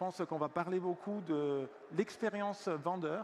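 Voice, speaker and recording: A man talks at a fairly slow pace. His voice is high. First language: Italian (speaking French). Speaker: software company executive. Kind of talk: conference panel talk. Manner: hesitant, many fillers.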